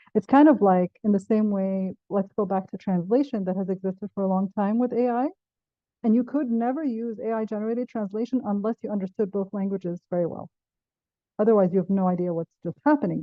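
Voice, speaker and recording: Speaking fairly quickly with an Arabic accent, a woman uses a medium pitch and ordinary pitch variation. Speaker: professor. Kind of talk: panel discussion.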